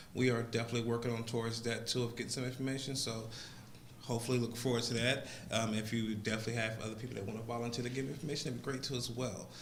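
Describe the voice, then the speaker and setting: A man talks very fast in an American accent, his intonation flat and monotone. Noticeable background noise and audible room echo are present. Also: medium pitch for a man. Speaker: public commenter at council meeting. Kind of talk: public comment. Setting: council meeting.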